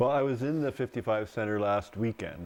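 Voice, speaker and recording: With a Canadian accent and lively intonation, a man speaks at a medium pitch in an unremarkable speaking voice. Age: 60s. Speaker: interview host. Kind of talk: interview.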